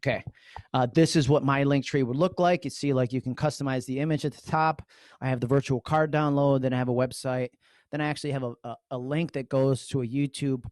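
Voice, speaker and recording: A man talks at a fairly quick pace and medium pitch in a New York accent. The sound is dry and close with no echo. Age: 40s. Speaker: social media trainer. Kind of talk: online training webinar. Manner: fast; animated.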